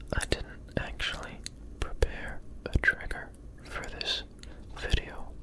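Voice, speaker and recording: A man whispers at a fairly slow pace with long, frequent pauses. Noticeable background noise sits behind him. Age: 20s. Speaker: ASMR creator. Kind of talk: ASMR casual talk. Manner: whispering.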